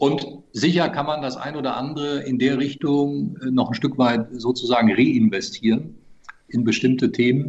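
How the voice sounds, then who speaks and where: With a normal speaking voice, a man talks at medium pitch and a moderate pace, his pitch varying in an ordinary way. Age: 50s. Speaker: club presidential candidate, businessman. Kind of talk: podcast interview.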